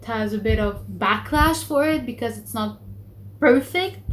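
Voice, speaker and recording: A woman with a Lebanese accent speaks at a fairly slow pace amid noticeable background noise and audible room echo. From Lebanon. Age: 20s. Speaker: book vlogger. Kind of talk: casual vlog talk. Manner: hesitant, many fillers.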